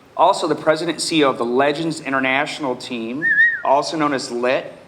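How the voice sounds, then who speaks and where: Over noticeable background noise and audible room echo, a man with an American accent talks very fast in a fairly high pitch with fairly even intonation. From Nebraska, US Midwest. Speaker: real estate coach and author. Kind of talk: conference panel introduction. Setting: stage with audience.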